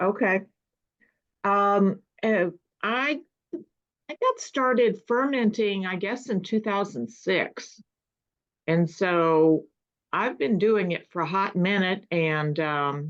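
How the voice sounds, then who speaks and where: The speech moves at a very slow pace with lively intonation. Long pauses come often. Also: woman, medium pitch for a woman. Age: 60s. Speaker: meeting participant, home fermenter. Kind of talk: casual chat.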